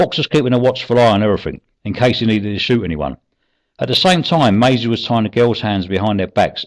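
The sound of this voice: An unforced reading voice sounds against a quiet background.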